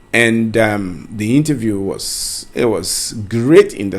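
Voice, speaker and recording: Speaking with a Ghanaian accent, a man talks at medium pitch with ordinary pitch variation. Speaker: career coach. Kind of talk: tutorial. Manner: conversational.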